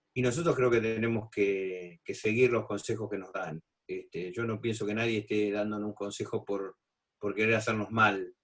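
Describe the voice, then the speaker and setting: This man's voice is fairly low and his speed moderate. The intonation is fairly even. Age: 60s. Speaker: physician. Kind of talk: expert talk in a video panel. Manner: halting with many fillers.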